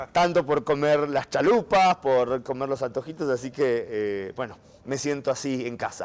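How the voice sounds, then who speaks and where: His voice sits fairly high for a man. He keeps a fairly slow pace. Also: ordinary pitch variation. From Argentina. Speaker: journalist, Vatican correspondent. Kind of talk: casual interview over a meal.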